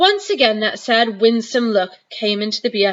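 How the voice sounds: Natural reading voice, nothing else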